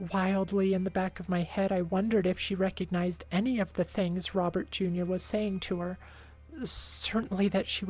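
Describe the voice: Someone reads text aloud in a plain manner. There is no more to the delivery than that.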